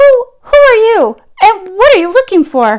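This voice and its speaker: A woman performs a squeaky put-on character voice at an extremely high pitch with very wide pitch swings. Her pace is moderate. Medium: read story.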